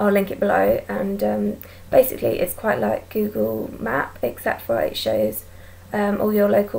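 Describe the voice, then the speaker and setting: A woman speaks at a fairly slow pace with an English accent. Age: 20s. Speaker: vlogger. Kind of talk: casual chat. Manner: hesitant, many ums.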